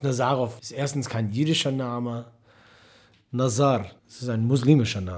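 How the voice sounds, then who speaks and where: A man with an English accent talks at a moderate pace and medium pitch, with ordinary pitch variation and long, frequent pauses. His loudness swings widely, and the room echo is audible. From US, Detroit, Michigan. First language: English (speaking German). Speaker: musician. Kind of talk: interview.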